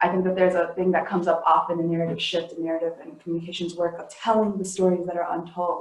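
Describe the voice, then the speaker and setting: With an American accent, a woman talks very fast in a fairly low pitch. Her intonation is a flat monotone. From US Midwest, Saint Paul, Minnesota. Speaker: community organizer. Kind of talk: panel talk.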